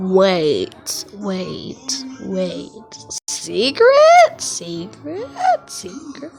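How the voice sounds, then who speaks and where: Over faint background music, a female-sounding cartoonish character voice speaks very slowly at a fairly high pitch. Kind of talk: fan comic dub acting. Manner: stammering, repeating words.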